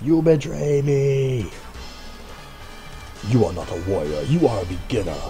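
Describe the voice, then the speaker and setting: A man puts on a character voice at a medium pitch and a moderate pace. Background noise is clearly audible. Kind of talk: exaggerated villain dialogue. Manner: hammy, menacing.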